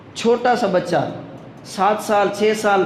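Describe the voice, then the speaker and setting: A man speaks at a high pitch with fairly even intonation over noticeable background noise. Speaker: Islamic preacher. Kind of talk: religious sermon. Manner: emotional.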